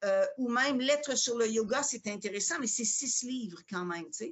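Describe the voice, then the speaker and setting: In a Quebec accent, a woman speaks at a fairly slow pace. Her voice is high, with lively intonation. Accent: Quebec French, moderate, more international. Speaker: yoga teacher and spiritual seeker. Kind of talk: interview.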